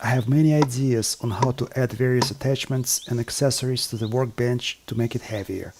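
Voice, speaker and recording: With a non-native accent, a man speaks at a fairly quick pace with hardly any pauses. His pitch is medium and his intonation fairly even. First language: not English. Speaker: woodworking and bushcraft video maker. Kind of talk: scripted narration. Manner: formal.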